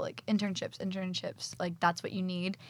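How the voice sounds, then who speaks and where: The speaker has a Texan accent. The delivery is fairly quick with fairly even intonation. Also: woman. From Texas. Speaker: fashion design assistant. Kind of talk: casual interview.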